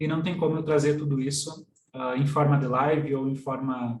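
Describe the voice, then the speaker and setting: Somewhat breathy, a man speaks slowly, at a fairly slow pace, with fairly even intonation and a fairly high pitch. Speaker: systemic constellation coach. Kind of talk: online workshop lecture. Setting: live stream.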